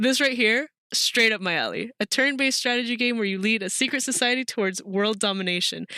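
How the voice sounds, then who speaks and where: A woman speaks at a fairly quick pace in a bright, sharp tone. Her delivery is animated, with ordinary pitch variation. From Mexican heritage, raised outside Mexico. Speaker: streamer. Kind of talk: casual live-stream commentary. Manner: fast.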